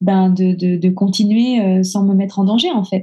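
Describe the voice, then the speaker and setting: A woman's somewhat breathy, dark, mellow voice at a medium pitch and a very slow pace. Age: 40s. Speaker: coaching client. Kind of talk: testimony interview. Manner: halting.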